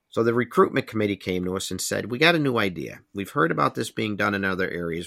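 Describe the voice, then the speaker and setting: Very fast and lively in intonation, a man with a bright, sharp tone and fairly low pitch is heard in a dry, close recording with no echo, very clean and with a silent background. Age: 60s. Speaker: volunteer firefighter and fire commissioner. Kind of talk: interview, motivational advice.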